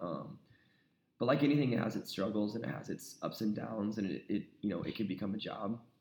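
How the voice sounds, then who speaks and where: The speaker talks at a very fast pace with an American accent. The tone is dark and mellow. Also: man. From South Carolina, US South. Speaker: country rock singer-songwriter. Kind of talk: casual interview chat.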